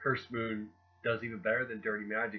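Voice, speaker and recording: A man with a medium pitch speaks with music in the background. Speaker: author. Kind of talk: book review talk to camera.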